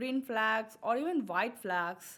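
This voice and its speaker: A woman with a bright, sharp tone speaks at a very slow pace. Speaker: webcomic artist. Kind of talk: tutorial. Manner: casual.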